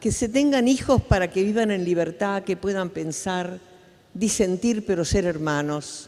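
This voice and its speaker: Speaking at a fairly slow pace, a woman with an Argentine accent uses a medium pitch and ordinary pitch variation. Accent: Argentine Spanish (Rioplatense). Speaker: human rights activist. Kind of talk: conference talk.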